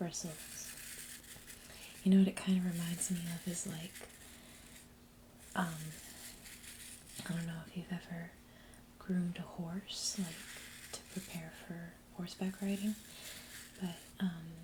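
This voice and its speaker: Soft-spoken and whispering, a woman talks with long, frequent pauses. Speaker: ASMR creator. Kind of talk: ASMR product showcase, soft spoken talk to camera. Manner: soft-spoken, whispering.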